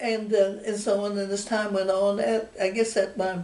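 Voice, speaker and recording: Someone with a Texan accent is heard amid noticeable background noise and audible room echo. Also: woman. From Texas, Fayette County. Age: 90s. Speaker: oral history interviewee. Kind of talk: oral history interview. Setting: at home. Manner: halting.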